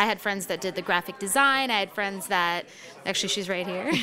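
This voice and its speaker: With noticeable background noise behind her, a woman talks at a medium pitch. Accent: American. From New York. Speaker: singer-songwriter. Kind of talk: radio interview. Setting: live radio broadcast from a cafe.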